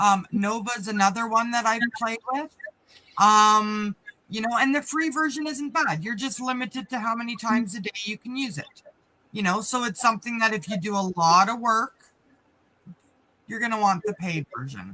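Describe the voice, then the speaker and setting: Here is a woman with a fairly high pitch. Her tone is bright and sharp. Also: ordinary pitch variation, moderate pace. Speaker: business coach, live stream co-host. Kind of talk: casual chat. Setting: live stream. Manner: off the cuff.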